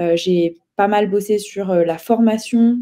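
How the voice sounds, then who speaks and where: Her tone is dark and mellow as the woman talks at a medium pitch, her intonation fairly even. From eastern France (Ain). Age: 30s. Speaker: political activist. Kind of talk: interview. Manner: hesitant, many fillers.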